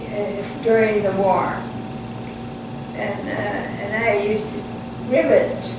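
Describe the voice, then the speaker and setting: The pace of speech is fairly slow. Noticeable background noise can be heard. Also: woman. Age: 80s+. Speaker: retired wartime aircraft riveter. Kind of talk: interview answer.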